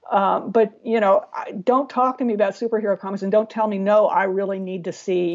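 This woman has a medium-pitched voice and a Californian accent. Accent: Californian American. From US West Coast, San Diego. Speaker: cartoonist and writer. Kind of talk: casual interview. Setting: Skype call.

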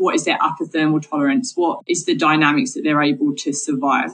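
Speaking with a southern English accent, a woman moves at a fairly quick pace. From Essex, England. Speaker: marine biologist. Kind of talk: interview.

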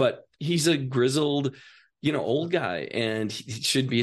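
A man's plain, everyday voice with ordinary pitch variation over a quiet background. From Wisconsin, US Midwest. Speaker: writer and actor. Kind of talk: casual chat. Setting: studio.

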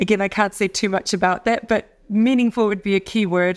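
A woman with a New Zealand accent talks at a moderate pace with fairly even intonation. The recording is very clean, with a silent background. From New Zealand, Auckland. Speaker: fashion designer. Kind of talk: interview. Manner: hesitant, many fillers.

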